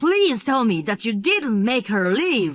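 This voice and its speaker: Very wide pitch swings mark this put-on character voice. The pace is fairly slow. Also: woman. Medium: read story. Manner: direct, earnest.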